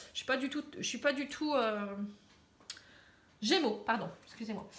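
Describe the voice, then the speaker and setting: A woman's high, lively voice at a fairly slow pace, with audible room echo. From northern France, Pas-de-Calais. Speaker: tarot card reader. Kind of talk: casual aside; tarot reading monologue to camera. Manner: hesitant, many fillers.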